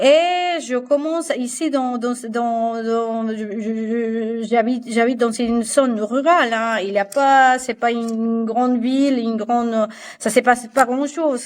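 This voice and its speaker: In a Spanish accent, a woman speaks at a high pitch with fairly even intonation. Her pace is very slow, with hardly any pauses. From Colombia, Barranquilla. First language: Spanish (speaking French). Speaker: fashion designer and patternmaker. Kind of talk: podcast interview. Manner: halting, many repetitions and fillers.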